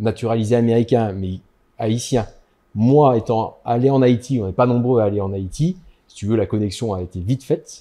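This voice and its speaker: Pitch moves in an ordinary way through a dark, mellow tone. Delivery proceeds at a moderate pace. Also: man. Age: 50s. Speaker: dentist. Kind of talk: casual interview chat. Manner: hesitant, many fillers.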